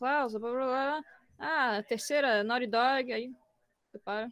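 The sound is dry and close, with no echo. A woman speaks with a high pitch and ordinary pitch variation. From Brazil, Florianópolis. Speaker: voice actress and illustrator. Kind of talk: casual chat. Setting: live stream from home. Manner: fast, talkative.

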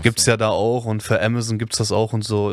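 A man with a normal speaking voice talks at a moderate pace in a fairly low pitch. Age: 20s. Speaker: podcast co-host. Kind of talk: casual chat. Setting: basement.

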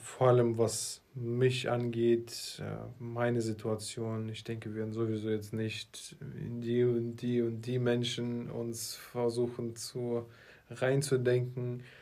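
The man's tone is dark and mellow, his pitch medium. He speaks at a very slow pace with monotone, flat intonation. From Russia (Moscow), then Berlin. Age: 20s. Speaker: marketing entrepreneur, podcast co-host. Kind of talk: casual chat.

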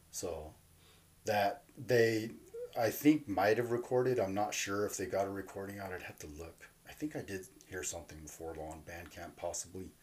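At a moderate pace, a man with an American accent talks in a fairly low, somewhat breathy voice, his intonation lively and his loudness swinging widely. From Southern California (Fillmore, Ventura County). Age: 40s. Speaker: hardcore punk musician. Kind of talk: casual interview chat. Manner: halting.

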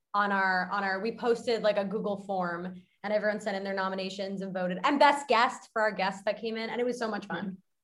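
Talking very fast with an American accent, a woman keeps a medium pitch and fairly even intonation. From Westchester, New York. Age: 20s. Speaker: dating content creator. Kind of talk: casual chat. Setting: video call.

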